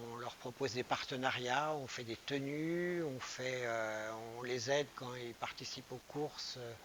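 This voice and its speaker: A man's voice at a medium pitch. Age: 60s. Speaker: running shop manager. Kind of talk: interview. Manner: hesitant, many fillers.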